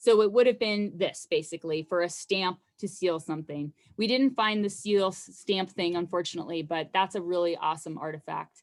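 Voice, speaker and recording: With ordinary pitch variation, the woman speaks at a fairly quick pace. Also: medium pitch for a woman. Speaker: archaeologist. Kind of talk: lecture. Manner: fast.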